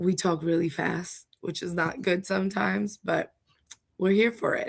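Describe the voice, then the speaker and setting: Speaking at a fairly slow pace, a woman with a medium pitch and vocal fry keeps a fairly even intonation. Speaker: home care agency representative explaining Medicaid. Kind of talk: livestream explainer. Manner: casual, chatty.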